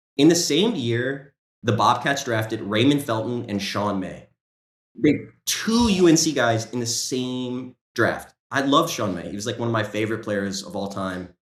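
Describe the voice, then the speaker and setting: A man speaks at a moderate pace and a medium pitch. His tone is animated, with lively intonation. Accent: American. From US South, North Carolina (Greensboro). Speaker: sports writer. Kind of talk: casual chat.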